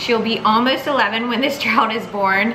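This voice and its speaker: A woman speaks at a moderate pace and a fairly high pitch. Her voice carries audible room echo over noticeable background noise. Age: 30s. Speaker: vlogger. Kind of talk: casual chat.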